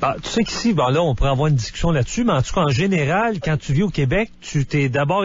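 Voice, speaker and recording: With noticeable background noise behind him, a man talks at a fairly quick pace in a fairly high pitch with lively intonation. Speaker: radio host. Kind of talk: radio talk show.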